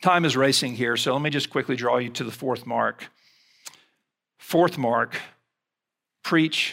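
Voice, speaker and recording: In an Alabama accent, a man talks at a fairly slow pace with long, frequent pauses, a medium pitch, ordinary pitch variation, vocal fry and a bright, sharp tone. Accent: Southern US (Alabama). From US South, Mobile, Alabama. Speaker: seminary president and preacher. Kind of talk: sermon. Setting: chapel service with audience.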